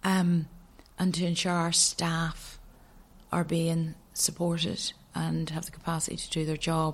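A woman with a Northern Irish accent speaks in a somewhat breathy, monotone, flat voice at a fairly slow pace, leaving long, frequent pauses. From Northern Ireland, County Antrim. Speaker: addiction charity chief executive. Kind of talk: interview.

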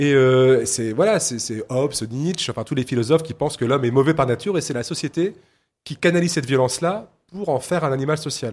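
A man's unremarkable speaking voice, fairly high in pitch, with ordinary pitch variation and a fairly quick pace, on a very clean recording with a silent background. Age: 40s. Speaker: novelist. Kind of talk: interview. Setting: live radio set at a book fair.

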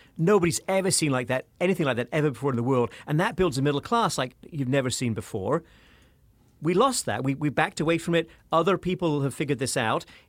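With a British accent, a man talks at a fairly high pitch and a fairly quick pace. His intonation is lively. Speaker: professor and author. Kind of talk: interview.

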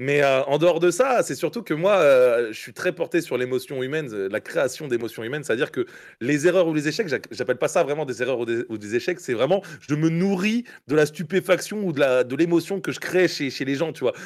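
Here a man talks at a fairly quick pace with lively intonation and a fairly high pitch. He has a plain, everyday voice. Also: very clean recording, silent background. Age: 20s. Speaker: comedian. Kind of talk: casual chat.

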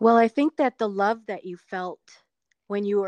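Against a quiet background, an ordinary speaking voice with ordinary pitch variation comes through in a dry, close sound with no echo. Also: woman. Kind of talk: casual chat. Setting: video call.

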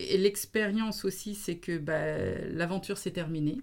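Using vocal fry, a woman speaks at a very slow pace and medium pitch with lively intonation. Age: 40s. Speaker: business consultant. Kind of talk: interview.

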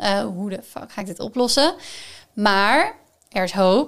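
Fairly high in pitch with ordinary variation, a woman speaks fairly slowly in an unremarkable speaking voice, captured in a very clean recording with a silent background. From Netherlands, Gelderland (Groesbeek). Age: 20s. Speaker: sustainability expert. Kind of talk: casual chat.

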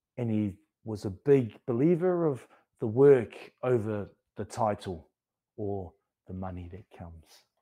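Over a very clean recording with a silent background, a man speaks at a fairly slow pace with a fairly low pitch, a dark, mellow tone, lively intonation, and long, frequent pauses. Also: big swings in loudness. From New Zealand. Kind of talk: presentation.

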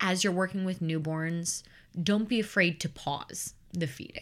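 Recorded very cleanly with a silent background, a woman speaks with an American accent in an ordinary speaking voice. Her pitch is fairly low, with ordinary pitch variation. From US Midwest, Chicago suburbs. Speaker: professional nanny. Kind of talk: casual interview.

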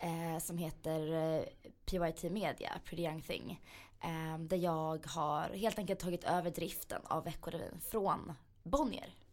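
Speaking very slowly, a woman keeps a fairly even intonation in a fairly low register. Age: 20s. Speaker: magazine editor and business owner. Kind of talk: interview.

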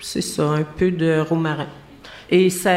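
In a Quebec accent, a woman speaks at a very slow pace. The room echo is audible. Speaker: guest cook explaining a Quebec recipe. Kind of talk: casual chat.

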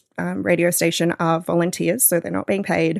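Dry and close with no echo, the recording captures a woman with an Australian accent. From Australia, northeast New South Wales. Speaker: podcast producer and radio worker. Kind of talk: casual chat.

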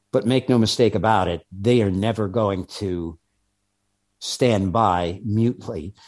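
Over a quiet background, a man with an American accent speaks with ordinary pitch variation. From New York. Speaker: former undercover federal agent. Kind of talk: interview storytelling.

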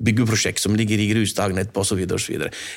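Fairly low-pitched and at a fairly quick pace, this man speaks in a normal speaking voice. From Norway, Lærdal (Sogn). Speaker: journalist and author. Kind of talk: interview.

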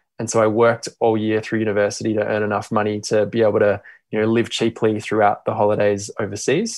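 In an Australian accent, a man talks at a very fast pace with a fairly low pitch. His intonation is monotone and flat, with a quiet background. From Australia (Perth). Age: 30s. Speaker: social entrepreneur, company CEO. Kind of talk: interview. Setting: remote call.

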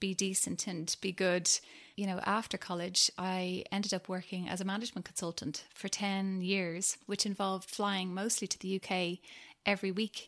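In a Dublin accent, a woman speaks at a moderate pace and medium pitch on a very clean recording with a silent background. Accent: Dublin Irish. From Ireland, Dublin. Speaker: founder of a toy-lending venture. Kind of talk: interview.

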